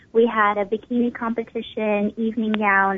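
A woman's fairly high-pitched voice with fairly even intonation, amid noticeable background noise. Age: 20s. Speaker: beauty pageant winner. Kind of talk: interview. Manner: many fillers, hesitant.

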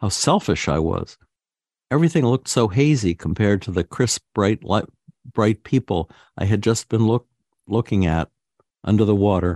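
A man with a plain, everyday voice speaks at a fairly low pitch and a fairly quick pace, his intonation lively. The sound is dry and close with no echo, over a quiet background. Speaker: radio host. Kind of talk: reading aloud. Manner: formal.

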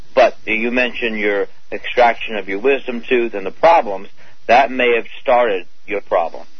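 Over noticeable background noise, a man speaks at a moderate pace. His medium pitch has ordinary variation. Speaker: dentist and author. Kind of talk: radio interview.

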